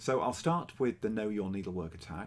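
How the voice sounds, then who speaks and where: A man speaks with an English accent. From England. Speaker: cross-stitch vlogger. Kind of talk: casual vlog. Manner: hesitant with fillers.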